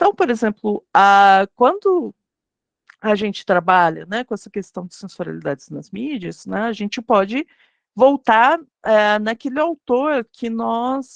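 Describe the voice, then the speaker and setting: With long, frequent pauses and big swings in loudness, a woman speaks very slowly at fairly high pitch and with lively intonation, in a dry, close sound with no echo. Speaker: university lecturer teaching a course for teachers. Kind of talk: online lecture. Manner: hesitant, many fillers.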